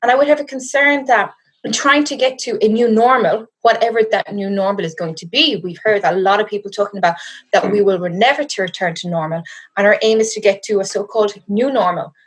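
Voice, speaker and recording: A woman at a fairly high pitch and fairly quick pace, with ordinary pitch variation. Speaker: law lecturer and researcher. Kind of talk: interview. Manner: hesitant, many fillers.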